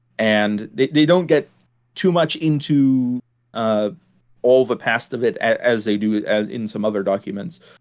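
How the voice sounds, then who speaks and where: A man with a German accent, medium pitch, a fairly slow pace, and a very clean recording against a silent background. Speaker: podcast host. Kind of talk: casual discussion. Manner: hesitant, many fillers and repeats.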